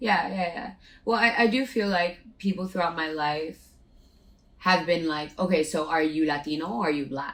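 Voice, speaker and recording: A woman with a Spanish accent talks at a moderate pace. Her pitch is fairly low, with ordinary pitch variation. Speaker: podcast co-host. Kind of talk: casual chat.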